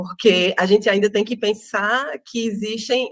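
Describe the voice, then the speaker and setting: A woman with a northeastern Brazilian accent speaks at a fairly slow pace, her medium pitch showing ordinary variation. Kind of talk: interview. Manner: halting, many fillers.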